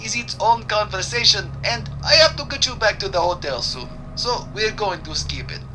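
Music plays behind a man talking at a moderate pace. He hardly pauses at all. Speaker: comic tour guide character. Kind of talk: comedic tour-guide sketch, pointing out sights to a busload. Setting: staged tour bus sketch. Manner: hammy broken-English patter, showman-like; jokey, playful, with laughs.

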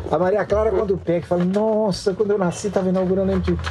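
Background noise is clearly audible here. Through it comes a man's voice. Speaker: journalist and writer. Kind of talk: interview. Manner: talkative.

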